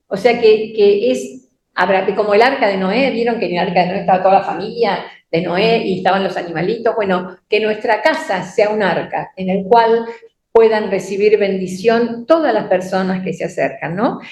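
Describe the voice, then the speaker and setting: A woman with a Rioplatense accent speaks at medium pitch and a moderate pace. Her pitch varies in an ordinary way, and the room echo is audible. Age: 70s. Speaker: church teacher. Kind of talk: sermon. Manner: halting.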